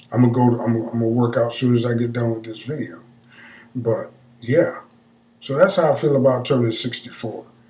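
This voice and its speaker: A man's voice with ordinary pitch variation and long, frequent pauses, in audible room echo. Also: medium pitch for a man, fairly quick pace. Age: 60s. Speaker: vlogger. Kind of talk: casual monologue. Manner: halting.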